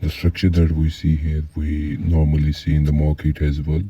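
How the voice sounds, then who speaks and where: A man with a non-native accent speaks at a very deep, low pitch in a monotone, flat way, with noticeable background noise behind him. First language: not English. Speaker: trading teacher. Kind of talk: tutorial.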